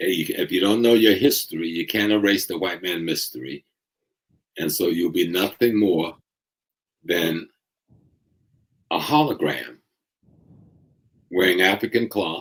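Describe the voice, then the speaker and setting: Speaking at a fairly slow pace with long, frequent pauses, a man has a very deep, low pitch and ordinary pitch variation. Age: 70s. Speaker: historian and Pan-Africanist lecturer. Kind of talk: interview discussion. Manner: impassioned.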